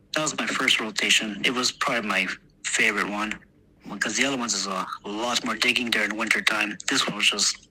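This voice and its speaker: Against noticeable background noise, a man talks at a fairly quick pace and fairly low pitch with fairly even intonation. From Texas, US. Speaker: war veteran. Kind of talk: interview. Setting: podcast interview. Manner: halting, many fillers.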